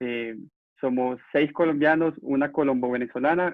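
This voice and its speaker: A man's ordinary speaking voice at a moderate pace with fairly even intonation. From Venezuela, Valencia. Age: 20s. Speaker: youth activist. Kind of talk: interview.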